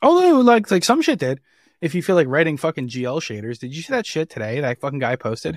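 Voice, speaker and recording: A man with an American accent at a very fast pace, fairly high in pitch with very wide pitch swings, in a dry, close sound with no echo and a very clean recording with a silent background. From New Jersey, Jersey Shore. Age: 30s. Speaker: software engineer. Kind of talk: casual chat.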